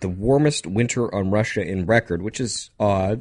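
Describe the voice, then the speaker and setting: Against a quiet background, a man speaks slowly-ish in an unremarkable speaking voice, fairly low in pitch with ordinary pitch variation, at a fairly slow pace. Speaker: radio host. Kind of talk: casual chat. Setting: studio.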